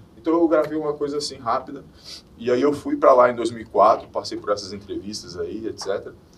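A man is speaking. His pace is fairly slow. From Minas Gerais, Brazil (Belo Horizonte). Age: 40s. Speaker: former reality show contestant, model and DJ. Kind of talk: casual chat.

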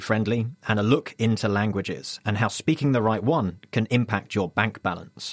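A plain, everyday voice moves at a fairly quick pace. The sound is dry and close, with no echo. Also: man. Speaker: science show co-presenter. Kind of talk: radio science magazine presenting.

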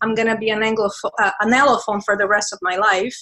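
The voice has a Portuguese accent. Its tone is bright and sharp. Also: woman. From Brazil. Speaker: university professor and researcher. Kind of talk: interview.

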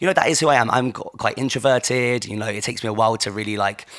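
Someone talks very fast with ordinary pitch variation over noticeable background noise. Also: man. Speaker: fitness instructor. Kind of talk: motivational class coaching. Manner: encouraging, reassuring.

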